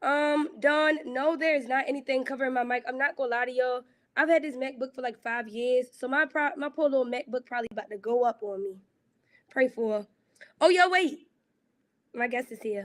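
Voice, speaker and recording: A woman's fairly quick, animated speech with ordinary pitch variation, on a very clean recording against a silent background. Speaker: youth program livestream host. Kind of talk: casual chat with live chat readers. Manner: loud. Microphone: old laptop mic, volume low.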